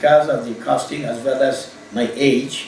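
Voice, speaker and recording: A man with a medium-pitched voice talks while noticeable noise fills the background. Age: 70s. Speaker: general medical practitioner. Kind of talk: patient testimonial. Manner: hesitant, halting.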